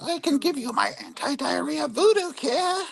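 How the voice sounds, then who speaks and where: A female-sounding, high-pitched put-on character voice. Its tone is theatrical. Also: moderate pace. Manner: cackling, theatrical.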